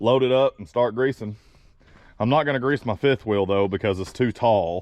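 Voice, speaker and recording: A man with an American accent speaks at a moderate pace, his pitch medium and his pitch variation ordinary. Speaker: truck driver vlogger. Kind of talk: casual vlog talk.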